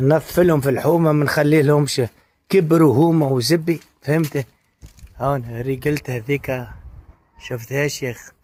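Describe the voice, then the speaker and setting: Spoken at a fairly slow pace with fairly even intonation, the delivery is broken up by long, frequent pauses. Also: man, fairly high pitch for a man. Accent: Tunisian. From Tunisia. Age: 60s. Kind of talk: casual monologue.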